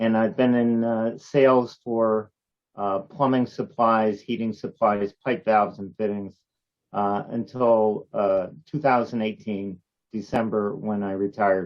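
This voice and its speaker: A man's plain, everyday voice with an American accent, medium in pitch, with fairly even intonation at a fairly slow pace. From Connecticut, US (East Haven). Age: 60s. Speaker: retired salesman. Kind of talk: interview.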